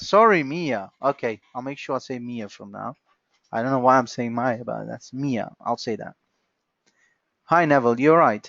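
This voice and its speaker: A man with a non-native accent, lively intonation and big swings in loudness. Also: medium pitch for a man, moderate pace. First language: not English. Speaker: software trainer. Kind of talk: online training session. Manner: halting.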